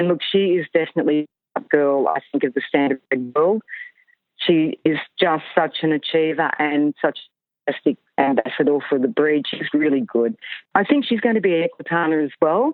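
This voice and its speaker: This woman has a very deep, low pitch and lively intonation. She speaks in an Australian accent at a moderate pace. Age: 60s. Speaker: horse retrainer. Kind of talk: interview.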